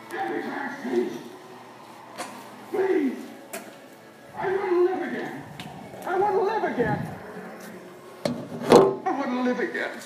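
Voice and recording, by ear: In a room with audible echo, a man does a put-on character voice at an extremely high pitch, slow and with long, frequent pauses, his slightly mellow tone marked by big pitch swings.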